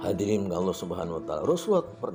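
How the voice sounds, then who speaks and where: There is music in the background. Over it, a man talks at a fairly low pitch. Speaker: Islamic preacher. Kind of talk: Islamic sermon.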